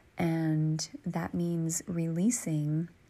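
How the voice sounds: The voice has a dark, mellow tone and moves through its words at a very slow pace. Its pitch barely shifts. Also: woman, low pitch for a woman.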